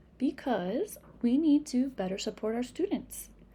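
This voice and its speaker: A woman speaks with a high pitch and lively intonation. Her tone is dark and mellow. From Massachusetts, New England. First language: Spanish. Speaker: reading teacher / literacy educator. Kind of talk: tutorial. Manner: self-correcting, repeats words.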